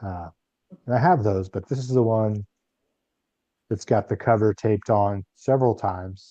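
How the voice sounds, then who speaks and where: A man speaks at a fairly low pitch in a dark, mellow tone, at a fairly slow pace with fairly even intonation. The sound is dry and close with no echo, over a quiet background. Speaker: guest speaker at a spiritual fellowship. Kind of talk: talk to a congregation. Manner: monotone.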